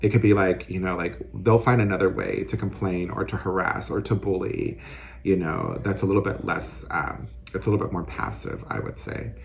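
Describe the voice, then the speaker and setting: With an American accent, a man talks at a moderate pace in a very deep, low pitch and lively intonation against noticeable background noise. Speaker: city council member and teacher. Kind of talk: interview. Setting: outdoors. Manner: flamboyant.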